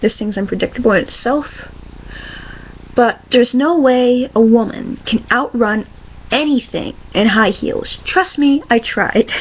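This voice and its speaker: Over noticeable background noise, a woman talks at a fairly slow pace in a high pitch. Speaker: comic creator. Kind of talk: casual talk to camera. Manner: stuttering, hesitant.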